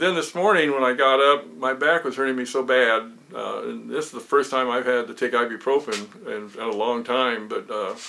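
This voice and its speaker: Noticeable background noise runs beneath speech at a moderate pace with hardly any pauses and ordinary pitch variation. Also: man, medium pitch for a man. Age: 80s+. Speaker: woodworking hobbyist and military veteran. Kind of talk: casual video update. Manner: halting, many fillers.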